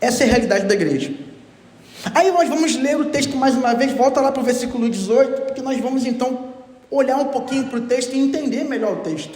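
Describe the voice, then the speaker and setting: Over noticeable background noise and audible room echo, a man talks at a fairly quick pace in an extremely high pitch with ordinary pitch variation. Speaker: pastor. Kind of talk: sermon.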